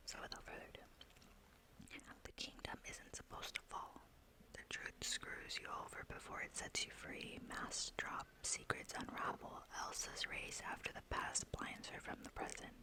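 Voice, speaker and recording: The whispering moves at a moderate pace. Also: woman. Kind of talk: ASMR book talk to camera. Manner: whispered.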